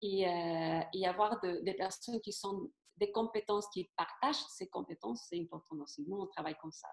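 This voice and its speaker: A woman's voice with a non-native accent. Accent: Spanish-speaking, non-native French. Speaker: naturopath and MLM seller. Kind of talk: interview answer.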